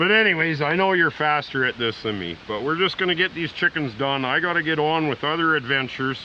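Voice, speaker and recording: A man with a fairly high voice speaks at a fairly quick clip in a relaxed tone, his pitch rising and falling by an ordinary amount, with hardly any pauses and noticeable noise in the background. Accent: Canadian. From Canada, British Columbia. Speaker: survivalist vlogger. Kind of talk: casual vlog narration and chat. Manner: relaxed, hesitant with fillers.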